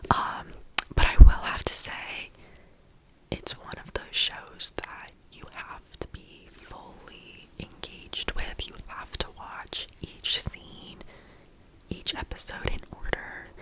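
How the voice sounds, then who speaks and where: Whispering at a very slow pace, a woman swings widely in loudness over noticeable background noise. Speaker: ASMR creator. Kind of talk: ASMR whispered TV show recap. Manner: soft whisper.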